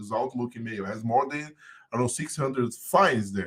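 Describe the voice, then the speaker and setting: Speaking fairly quickly with lively intonation, a man of medium pitch talks in a Portuguese accent. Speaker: podcast guest, compliance business owner and musician. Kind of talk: casual chat.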